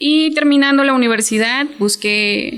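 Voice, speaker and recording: A woman's speech, with ordinary pitch variation, is heard over noticeable background noise. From Mexico, Chiapas. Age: 20s. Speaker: hotel worker and small business owner. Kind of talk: interview.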